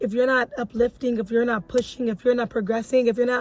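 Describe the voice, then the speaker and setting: A woman's fairly high-pitched voice against noticeable background noise. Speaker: motivational vlogger. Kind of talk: motivational talk to camera. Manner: fast; animated.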